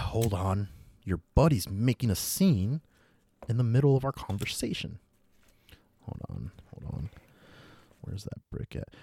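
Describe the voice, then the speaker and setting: A man with a medium pitch and a dark, mellow tone speaks at a fairly slow pace, his voice somewhat breathy with lively intonation. His loudness swings widely, long, frequent pauses break up his speech, and the sound is dry and close with no echo. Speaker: podcast host and storyteller. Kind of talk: ghost story telling, dramatic horror monologue in a sinister character voice. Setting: podcast recording. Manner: menacing, hushed and coaxing, with soothing shushing as the villain.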